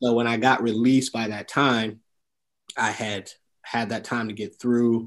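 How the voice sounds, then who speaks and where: He speaks with an American accent at a fairly low pitch and moderate pace. His intonation is monotone and flat, over a quiet background. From Detroit, Michigan. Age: 50s. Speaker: entrepreneur and military veteran. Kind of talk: interview testimony.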